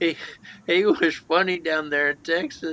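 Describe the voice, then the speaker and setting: A man with a Southern US accent speaks at a high pitch. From Alabama, US South. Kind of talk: casual chat.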